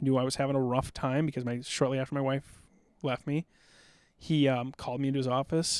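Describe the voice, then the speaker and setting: Over a silent background in a very clean recording, a man speaks with a medium pitch and monotone, flat intonation at a fairly quick pace. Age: 40s. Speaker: war veteran. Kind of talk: casual chat. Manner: fast; loud.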